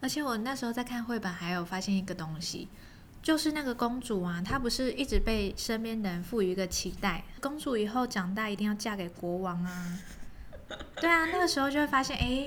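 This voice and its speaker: With a plain, everyday voice, a woman talks at a fairly quick pace, her fairly high pitch carrying lively intonation. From Taiwan, Kaohsiung. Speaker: podcast host, storyteller. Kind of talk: show outro; bedtime story reading and casual chat.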